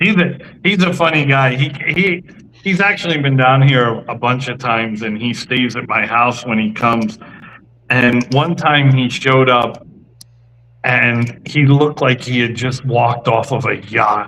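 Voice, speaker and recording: A man talks at a fairly slow pace and medium pitch with ordinary pitch variation. It is a normal speaking voice. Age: 50s. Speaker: cigar company representative. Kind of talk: casual interview chat. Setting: live stream show.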